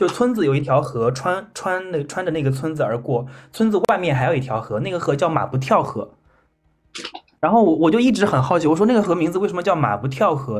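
Very wide pitch swings at a very fast pace. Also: man, fairly high pitch for a man. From Henan, China (rural village). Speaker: podcast host. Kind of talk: casual chat.

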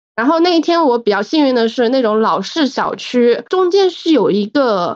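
A high-pitched woman speaks at a moderate pace with very wide pitch swings, in a dry, close sound with no echo. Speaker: listener sharing a story. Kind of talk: casual storytelling.

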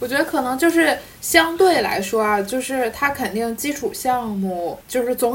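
A woman speaks with a high pitch and lively intonation over noticeable background noise. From Jilin, Northeast China. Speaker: podcast guest. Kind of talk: casual chat.

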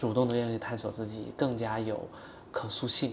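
A man speaks at a moderate pace with medium pitch and an ordinary speaking voice. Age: 30s. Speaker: startup founder. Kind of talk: casual interview conversation.

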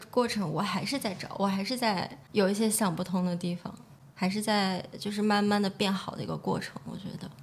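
An unremarkable speaking voice talks at a fairly quick pace. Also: woman. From China, Shaanxi (Xi'an). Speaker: entrepreneur, nail salon owner. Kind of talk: interview conversation.

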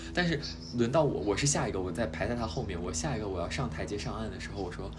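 Speaking at a very fast pace with very wide pitch swings, a man's voice carries audible room echo. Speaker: podcast host. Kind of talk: casual chat.

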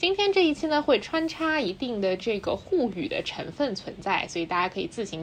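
A woman talks at a fairly quick pace and a fairly high pitch, with hardly any pauses. Her pitch swings very widely over noticeable background noise. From Shanghai. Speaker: podcast host. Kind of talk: casual chat. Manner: fluent, code-switching Mandarin and English.

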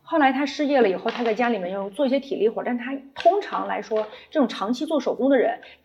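Over noticeable background noise, a woman with a high pitch speaks in a calm tone at a fairly quick pace with lively intonation. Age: 40s. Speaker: brand founder and designer. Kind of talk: interview. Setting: retail store.

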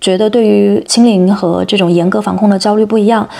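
Against noticeable background noise, the talking goes along at a fairly quick clip. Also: woman. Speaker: podcast host. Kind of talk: interview.

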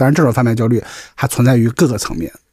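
Somewhat breathy, a man speaks at a medium pitch. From Qingdao, Shandong, China. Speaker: podcast co-host. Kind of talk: casual chat. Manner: frequent stuttering repetitions.

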